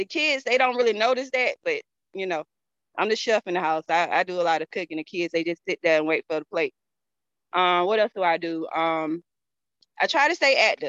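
In a Southern US accent, a woman speaks at a medium pitch and a fairly quick pace. Her intonation is lively, and the sound is dry and close with no echo. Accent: Southern US (Georgia). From Georgia, US South. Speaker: network marketing distributor. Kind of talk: interview. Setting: video call.

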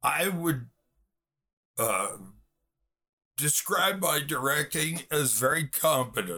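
Speaking at a very slow pace with an American accent, a man uses a fairly high pitch, a bright, sharp tone, and vocal fry. His intonation is lively, broken by long, frequent pauses. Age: 60s. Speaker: film director and writer. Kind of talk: interview. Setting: video call.

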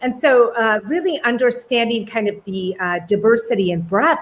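Speaking at a moderate pace, a woman has a normal speaking voice with a fairly high pitch. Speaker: professor and homelessness advocate. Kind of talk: interview conversation. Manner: warm, effusive.

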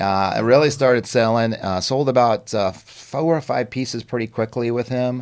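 A man speaks at medium pitch and a moderate pace. He leaves hardly any pauses. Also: ordinary pitch variation. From New York, Long Island. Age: 60s. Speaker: artist and musician. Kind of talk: interview. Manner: animated.

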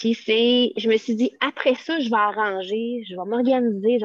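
Fairly high in pitch, a woman with a Quebec accent speaks with ordinary pitch variation in a dry, close sound with no echo. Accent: Québécois French. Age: 40s. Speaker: teacher. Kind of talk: casual chat.

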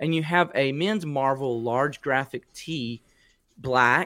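This man's voice sits at a medium pitch. It has ordinary pitch variation. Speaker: podcast host. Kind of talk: casual chat. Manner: animated.

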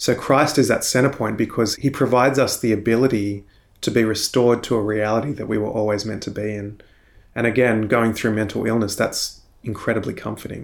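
In an Australian accent, a man with a medium-pitched voice talks with fairly even intonation. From Australia, Sydney. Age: 30s. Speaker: Anglican minister. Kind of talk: interview testimony.

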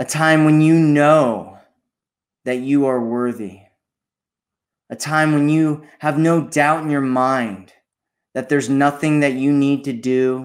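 A man talks at a very slow pace in a gentle, calm tone, leaving long, frequent pauses. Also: fairly even intonation. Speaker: meditation guide. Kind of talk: guided meditation. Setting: solo recording, addressing listener. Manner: slow, calm, soothing, with long pauses; gentle, repetitive, hypnotic cadence.

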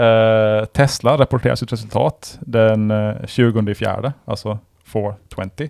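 An ordinary speaking voice with fairly even intonation sounds dry and close with no echo. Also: man, medium pitch for a man. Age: 40s. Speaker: podcast host. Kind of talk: casual chat.

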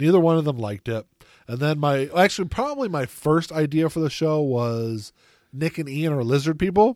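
A man's ordinary speaking voice, fairly high in pitch, with lively intonation and a fairly quick pace, on a very clean recording with a silent background and a dry, close sound with no echo. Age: 40s. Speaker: podcast host. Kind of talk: casual chat.

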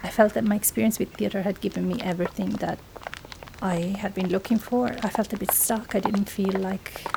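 This woman's fairly quick delivery comes through noticeable background noise. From southern Italy (Basilicata). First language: Italian. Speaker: sound artist. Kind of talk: interview. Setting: outdoors.

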